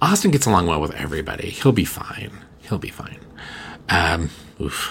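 Noticeable background noise sits behind a man's voice. He speaks at a fairly low pitch and a fairly quick pace. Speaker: podcast host and witchcraft teacher. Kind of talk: casual solo chat. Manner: rambling with fillers.

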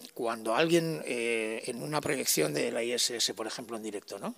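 Pitched at a medium level, a man speaks at a fairly slow pace with very wide pitch swings. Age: 50s. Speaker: sound technician and musician. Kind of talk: interview.

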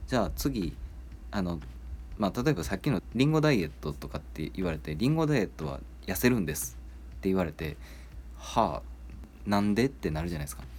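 Fairly quick speech shows vocal fry and very wide pitch swings. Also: man, very deep, low pitch for a man. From Kansai, Japan. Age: 30s. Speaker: podcast host. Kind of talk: casual solo talk.

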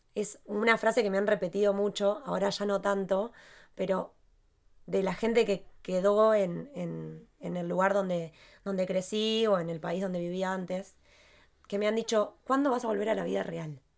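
A woman with an unremarkable speaking voice talks at a medium pitch and moderate pace, using fairly even intonation. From Argentina. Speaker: podcast co-host. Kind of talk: casual chat.

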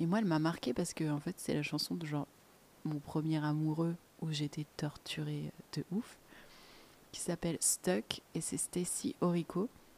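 A calm woman's voice, very deep and low, dark and mellow in tone, with ordinary pitch variation and long, frequent pauses. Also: fairly slow pace, dry, close sound with no echo. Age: 20s. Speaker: podcast host. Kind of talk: solo podcast monologue.

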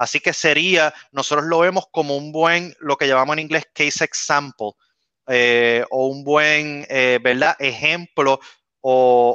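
Using a plain, everyday voice, a man speaks fairly slowly at a fairly high pitch. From western Puerto Rico (San Germán). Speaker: NASA climate scientist and lawyer, organization co-founder. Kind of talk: interview on live video show.

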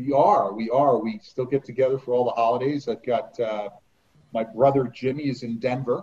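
Somewhat breathy, this man's voice sits at medium pitch with ordinary pitch variation. He speaks at a moderate pace. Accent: American. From New Jersey. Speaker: author and former amusement park lifeguard. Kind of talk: interview.

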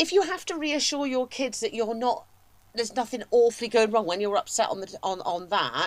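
Talking at a fairly quick pace, a woman uses an ordinary speaking voice, fairly high in pitch, with lively intonation. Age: 50s. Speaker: podcast co-host. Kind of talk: casual chat.

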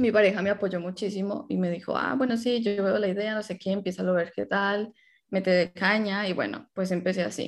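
Medium pitch from a woman, with a quiet background behind her. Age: 20s. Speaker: content creator. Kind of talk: casual chat.

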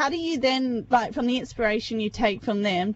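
A woman with an Australian accent talks at a fairly quick pace, using ordinary pitch variation. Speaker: radio host. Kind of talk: casual radio interview. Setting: radio studio, phone interview.

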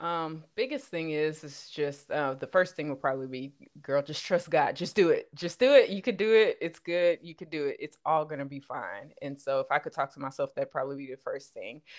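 With a slight Southern US accent, a woman with a very deep, low pitch talks at a fairly quick pace with hardly any pauses against a quiet background. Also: ordinary pitch variation, big swings in loudness. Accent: slight Southern twang. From Los Angeles, California. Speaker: podcaster. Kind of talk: casual chat.

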